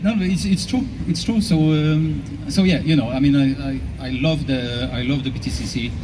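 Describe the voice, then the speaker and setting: A man talks at a moderate pace. Audible room echo and noticeable background noise are present. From Switzerland. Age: 60s. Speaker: racing driver. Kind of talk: casual interview on stage.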